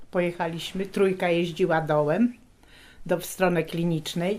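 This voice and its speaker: This woman has a plain, everyday voice. Her pitch sits fairly low. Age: 60s. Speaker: retired shipyard worker. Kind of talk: oral history interview.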